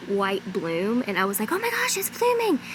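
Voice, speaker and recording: Against noticeable background noise, a woman talks in a fairly high pitch. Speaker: lifestyle vlogger. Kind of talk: casual vlog talk. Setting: outdoors in garden.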